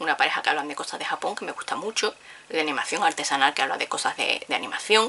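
A woman talks fast with lively intonation, her low-pitched voice bright and sharp in tone, with vocal fry.

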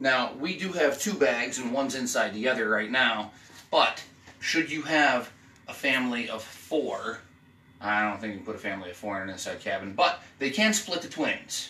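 At a moderate pace, a man talks amid audible room echo. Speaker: travel vlogger. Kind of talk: casual room tour. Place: home room.

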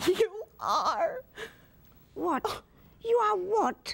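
Extremely high pitch in a put-on character voice. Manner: yelling, frantic.

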